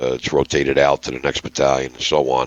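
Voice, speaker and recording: A man's very deep, low voice at a fairly quick pace, dry and close with no echo, over noticeable background noise. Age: 60s. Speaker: gaming unit officer. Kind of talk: podcast interview.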